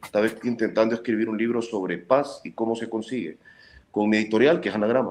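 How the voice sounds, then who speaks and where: A man rattles along at a very fast pace while his intonation stays fairly even. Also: medium pitch for a man. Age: 40s. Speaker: journalist and author. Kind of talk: interview.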